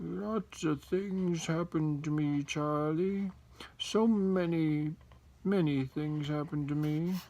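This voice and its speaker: A man's croaky put-on character voice, fairly high in pitch with ordinary pitch variation, at a fairly slow pace. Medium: read story. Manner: feeble and croaky.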